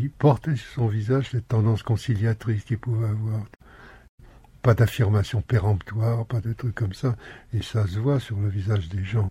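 On a very clean recording with a silent background, a man with a fairly low pitch speaks at a moderate pace, his dark, mellow tone somewhat breathy and his intonation fairly even. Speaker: former activist, bulletin publisher. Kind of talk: casual interview.

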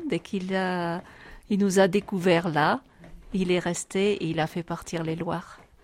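A woman speaks at medium pitch with fairly even intonation and a fairly slow pace. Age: 60s. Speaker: retiree, electro-sensitive. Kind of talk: interview testimony. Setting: inside a mountain cave.

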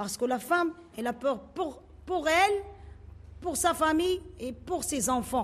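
Long, frequent pauses mark this fairly slow pace. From Morocco, old medina. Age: 40s. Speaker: resident. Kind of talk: interview.

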